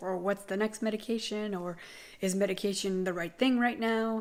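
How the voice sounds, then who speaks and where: Here is an ordinary speaking voice from a woman at a medium pitch. She keeps a moderate pace and fairly even intonation. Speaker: vlogger sharing chronic illness update. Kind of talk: casual vlog monologue.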